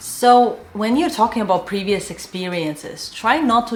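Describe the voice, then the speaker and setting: A woman with a non-native accent speaks at a moderate pace with lively intonation over noticeable background noise. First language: not English. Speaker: animation artist and career advice youtuber. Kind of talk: career advice talk to camera. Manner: casual, filler-heavy.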